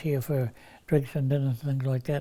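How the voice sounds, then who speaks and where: A man's fairly high, dark and mellow voice in a New Zealand accent, on a very clean recording with a silent background. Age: 80s+. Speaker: retired crane driver. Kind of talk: interview answer.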